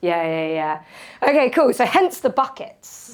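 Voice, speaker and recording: A woman's voice with very wide pitch swings on a very clean recording with a silent background. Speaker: motivational speaker. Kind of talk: talk to a live audience. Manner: animated, casual.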